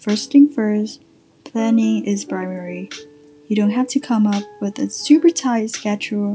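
Background noise is clearly audible. Over it, a woman talks fairly slowly. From Vietnam. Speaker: podcast host. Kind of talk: scripted tips episode.

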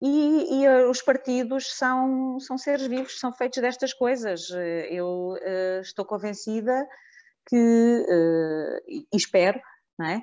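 A high-pitched woman's voice with lively intonation, at a very slow pace. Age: 50s. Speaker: local politician. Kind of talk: radio panel discussion. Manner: halting.

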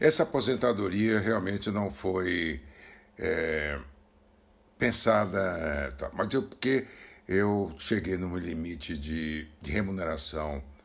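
A man speaks with a very deep, low pitch and lively intonation. His pace is very slow. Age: 70s. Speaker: retired banker. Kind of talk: recorded testimony.

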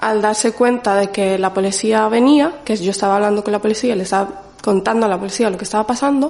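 Over music in the background, the speaker talks at a fairly quick pace with ordinary pitch variation. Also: woman. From Morocco, raised in the Canary Islands from about age five. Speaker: community advocate. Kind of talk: testimony.

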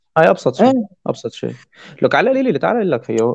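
A man is speaking. His pitch swings very widely. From Syria. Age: 20s. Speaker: electronic music DJ and producer. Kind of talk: casual chat.

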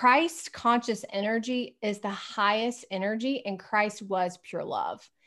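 An unremarkable speaking voice with an American accent and ordinary pitch variation. The recording is very clean, with a silent background. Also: woman. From US South. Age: 40s. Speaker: spiritual coach and energy healer. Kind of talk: interview conversation.

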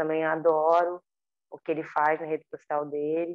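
This woman's pitch is very deep and low. She talks at a moderate pace with monotone, flat intonation. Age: 30s. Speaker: dancer and choreographer. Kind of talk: interview.

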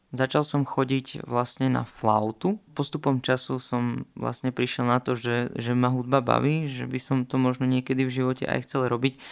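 A man of medium pitch talks at a moderate pace. His intonation is monotone and flat, with hardly any pauses. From Slovakia, Poprad/Kežmarok region under the Tatras. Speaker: podcast host, trumpet player. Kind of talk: personal monologue.

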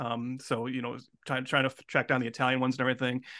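Speaking at a very fast pace, a man holds a medium pitch. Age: 40s. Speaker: podcast co-host. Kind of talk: casual chat.

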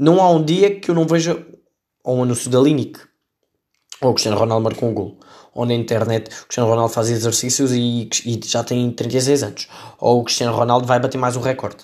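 Over a silent background in a very clean recording, a man with a Lisbon accent speaks at a medium pitch with ordinary pitch variation. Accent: European Portuguese, Lisbon area. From Portugal, Setúbal. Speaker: podcast host. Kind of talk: comedic solo commentary.

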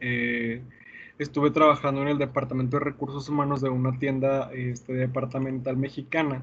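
A man's medium-pitched, somewhat breathy voice at a moderate pace, with monotone, flat intonation. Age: 20s. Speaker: podcast host and teacher. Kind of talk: casual chat.

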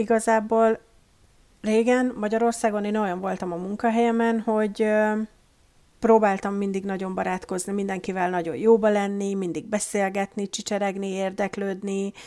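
In a dark, mellow tone, a woman speaks at a medium pitch and a moderate pace with monotone, flat intonation. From Hungary. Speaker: guest, emigrant office worker. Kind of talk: casual interview chat.

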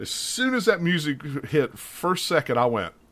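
A man with a West Virginia accent, very wide pitch swings and a fairly slow pace. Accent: West Virginian Appalachian. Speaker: podcast host, gaming. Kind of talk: casual chat.

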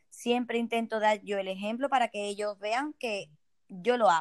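Speaking at a moderate pace, a woman has a high-pitched voice, recorded with a dry, close sound and no echo. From Spain, Ceuta. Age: 30s. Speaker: network marketing entrepreneur. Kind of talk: interview.

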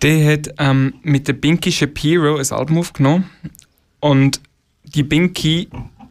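A man with a fairly high pitch talks at a fairly slow pace with fairly even intonation. He leaves long, frequent pauses. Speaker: musician. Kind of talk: casual interview.

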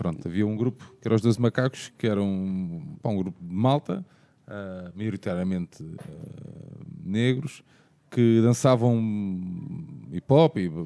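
A man's fairly low voice with a dark, mellow tone, lively intonation and long, frequent pauses. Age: 30s. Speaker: podcast host. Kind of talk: podcast discussion.

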